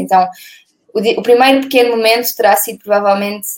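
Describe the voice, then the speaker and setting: An ordinary speaking voice, a woman at fairly high pitch, fairly quick pace and fairly even intonation. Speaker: sustainability blogger. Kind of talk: interview. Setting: video call.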